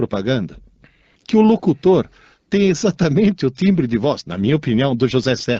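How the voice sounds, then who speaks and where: A man's dark, mellow voice, fairly high in pitch, at a moderate pace with very wide pitch swings and a dry, close sound free of echo. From Italy. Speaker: radio co-host, teacher. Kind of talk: casual radio chat.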